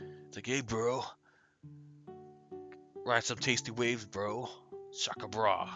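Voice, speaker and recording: Faint music plays in the background as a man in a put-on character voice at medium pitch speaks with long, frequent pauses. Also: fairly slow pace. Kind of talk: casual surfer slang.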